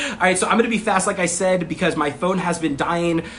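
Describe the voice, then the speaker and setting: Fairly quick speech from a man with a high pitch, amid audible room echo and noticeable background noise. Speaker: online marketing coach. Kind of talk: live stream class. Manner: fast; casual, many filler words.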